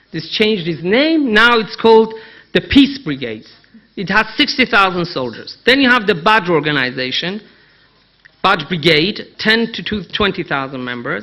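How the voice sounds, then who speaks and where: A man speaks with a Persian accent at a high pitch. His voice moves in very wide pitch swings. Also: moderate pace. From Iran. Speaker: Middle East analyst. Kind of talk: conference talk. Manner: emphatic.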